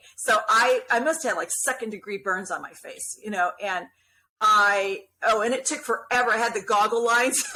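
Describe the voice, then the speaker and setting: In an animated, bright and sharp tone, a woman talks at a moderate pace with a fairly high pitch and ordinary pitch variation. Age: 60s. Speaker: skin cancer patient sharing her story. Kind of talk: casual interview chat.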